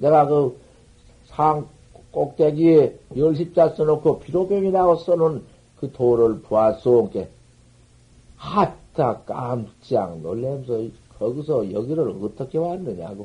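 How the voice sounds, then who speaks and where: Somewhat breathy and dark, mellow in tone, a man's fairly high voice moves at a very slow pace with lively intonation. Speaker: Buddhist master. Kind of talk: dharma talk. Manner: animated storytelling.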